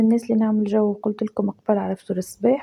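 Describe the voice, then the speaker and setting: A woman's fairly high voice with a dark, mellow tone and a Tunisian accent. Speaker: lifestyle vlogger. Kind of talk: casual vlog narration.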